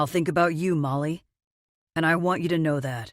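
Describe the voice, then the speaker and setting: This is a put-on character voice at a middle pitch. It moves at a fairly quick pace. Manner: serious, admitting.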